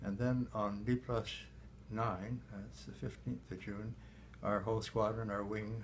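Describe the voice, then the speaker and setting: A man with a Canadian accent speaks slowly-ish in a fairly low voice with vocal fry, his pitch swinging very widely. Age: 80s+. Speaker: war veteran, former fighter pilot. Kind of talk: interview answer.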